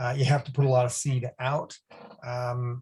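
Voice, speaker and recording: A man with a North American accent speaks at a fairly slow pace. His voice is somewhat breathy. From US Northeast, Boston. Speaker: academic researcher. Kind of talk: webinar Q&A answer.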